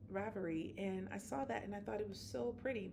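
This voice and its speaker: Her pitch is medium for a woman, swinging very widely, and audible room echo surrounds the recording. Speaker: knitting vlogger. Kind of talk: casual chat. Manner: halting, many fillers.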